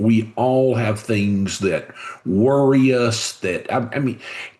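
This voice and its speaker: With a Southern US accent, a man talks over noticeable background noise. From US South, Covington, Georgia. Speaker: business leader and author. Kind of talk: podcast interview.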